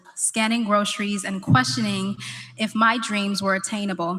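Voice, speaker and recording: Speaking at a moderate pace, a woman has a bright, sharp tone at a medium pitch with ordinary pitch variation. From Rochester, New York. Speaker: keynote speaker, actress. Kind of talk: keynote speech.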